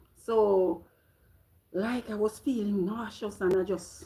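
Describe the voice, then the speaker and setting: A woman speaks with a Jamaican accent at a medium pitch. Her tone is animated. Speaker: vlogger. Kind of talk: casual live-stream chat. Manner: halting.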